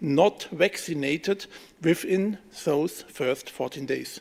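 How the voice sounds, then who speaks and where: A man with a German accent at a fairly slow pace. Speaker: politician. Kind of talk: press conference statement. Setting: press room. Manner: reading from script.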